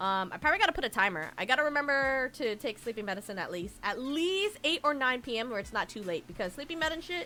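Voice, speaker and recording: An animated woman with an American accent, high-pitched and bright, sharp in tone, racing at a very fast pace with very wide pitch swings. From Florida, US. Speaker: VTuber streamer. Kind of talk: casual chat.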